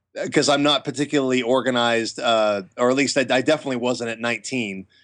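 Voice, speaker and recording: An unremarkable speaking voice from a man with an American accent, fairly quick and fairly even in intonation, over a quiet background. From US, small town. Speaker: actor and martial artist. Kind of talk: interview.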